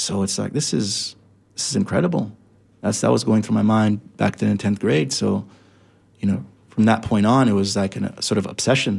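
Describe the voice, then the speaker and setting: This man has an American accent and a fairly low pitch, with some vocal fry. His intonation is lively. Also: moderate pace. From Jamaican American, US (Florida). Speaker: imam. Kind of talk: interview. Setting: studio. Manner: halting, many repetitions.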